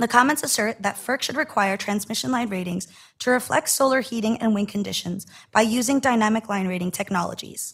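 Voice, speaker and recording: A somewhat breathy woman at a fairly high pitch and fairly quick pace, with ordinary pitch variation, on a very clean recording with a silent background. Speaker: utility regulator staff presenter. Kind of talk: formal presentation at board meeting. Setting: public board meeting. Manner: formal.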